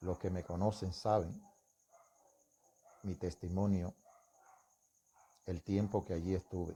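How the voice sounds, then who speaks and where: Over a silent background in a very clean recording, a man with a very deep, low pitch speaks at a fairly slow pace in a dark, mellow, somewhat breathy tone, with monotone, flat intonation and long, frequent pauses. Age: 60s. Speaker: religious testimony speaker. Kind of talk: testimony.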